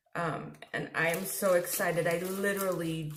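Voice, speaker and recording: A woman's fairly low, monotone voice with flat intonation, audible room echo and noticeable background noise. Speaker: face painter and video host. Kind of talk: product unboxing. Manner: restrained mouth movement.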